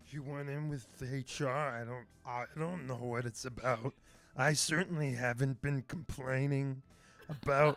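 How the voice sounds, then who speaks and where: A man uses a put-on character voice at medium pitch, speaking at a moderate pace. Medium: actual play. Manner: gossipy, evasive.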